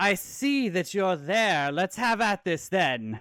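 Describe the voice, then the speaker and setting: Using a put-on character voice, a man speaks high-pitched at a fairly slow pace in a very clean recording with a silent background. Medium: actual play. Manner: cocky, laughing, theatrical.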